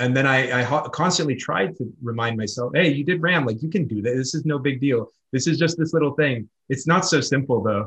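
With an American accent and a normal speaking voice, a man speaks at a fairly quick pace and medium pitch, with hardly any pauses. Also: ordinary pitch variation. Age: 30s. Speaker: ultra-distance cyclist. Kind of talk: casual interview.

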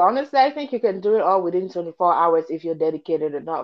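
A fairly quick pace with very wide pitch swings. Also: woman. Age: 20s. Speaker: podcast co-host. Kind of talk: casual chat.

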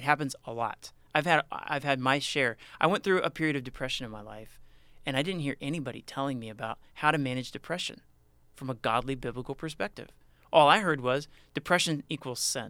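On a very clean recording with a silent background, a man's fairly high, bright, sharp voice shows ordinary pitch variation and big swings in loudness. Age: 20s. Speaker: student podcast host. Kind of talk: casual chat. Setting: studio.

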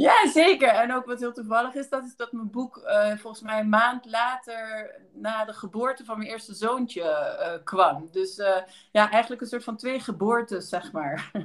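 A woman with a plain, everyday voice, fairly high pitch, ordinary pitch variation and a fairly slow pace. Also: big swings in loudness. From Belgium, near Maastricht. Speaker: anthropologist and lecturer. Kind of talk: casual interview.

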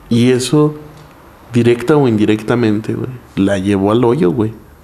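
A man speaks at a fairly slow pace with a medium pitch. Noticeable background noise runs beneath him. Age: 20s. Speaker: stand-up comedian. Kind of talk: casual chat.

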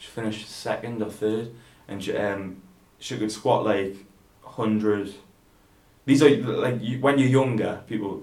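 A man's fairly low voice with fairly even intonation, big swings in loudness, and long, frequent pauses. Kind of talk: casual chat. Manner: monotone.

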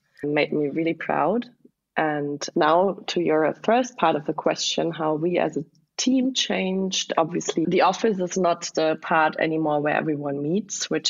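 This woman has a very deep, low pitch. She speaks with a German accent. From southwest Germany. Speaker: startup founder. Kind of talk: interview.

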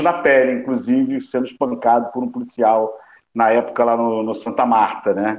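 This man has a plain, everyday voice with medium pitch. He speaks at a fairly slow pace with ordinary pitch variation. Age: 50s. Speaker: journalist and news agency founder. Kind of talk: panel discussion.

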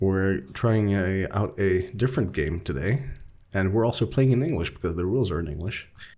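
With a Swedish accent, the speaker uses a dark, mellow tone and very wide pitch swings. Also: man. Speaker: podcast host, role-playing game player. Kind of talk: casual chat.

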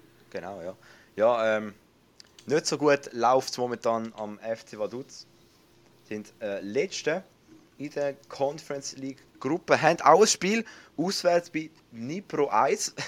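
A man talks at a very slow pace with long, frequent pauses. His fairly high pitch moves in very wide swings. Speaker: podcast host. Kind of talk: casual chat.

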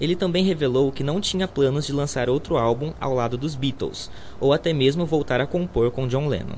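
His voice is fairly high-pitched and somewhat breathy. The man speaks at a moderate pace. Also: ordinary pitch variation. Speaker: student radio host. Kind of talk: scripted narration.

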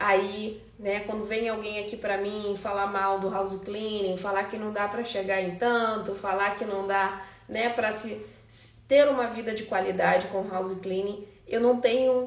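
In a room with audible echo and noticeable background noise, a woman talks at a fairly slow pace and medium pitch in a monotone, flat intonation. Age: 30s. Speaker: house cleaning business coach. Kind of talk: live webinar class. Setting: Instagram live stream.

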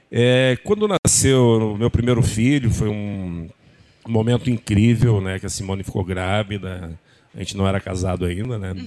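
The man's voice is fairly low in pitch, with a dark, mellow tone. His intonation is fairly even. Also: moderate pace. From Rio Grande do Sul, Brazil (Horizontina). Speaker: model scout. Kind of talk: interview.

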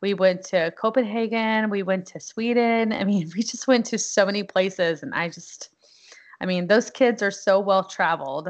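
An American accent marks this woman's unremarkable speaking voice, which has medium pitch, ordinary pitch variation, big swings in loudness and a moderate pace. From Texas (Houston area). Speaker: Navy veteran, military spouse. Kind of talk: casual interview.

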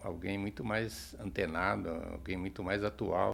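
A man's fairly low voice, lively in intonation, at a fairly slow pace. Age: 60s. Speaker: meditation practitioner. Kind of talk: interview. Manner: hesitant with fillers.

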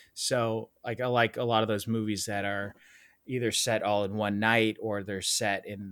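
In a very clean recording with a silent background, a man speaks at a moderate pace in a fairly low, monotone voice with flat intonation and a dry, close sound without echo. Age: 30s. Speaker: film director. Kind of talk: casual interview chat.

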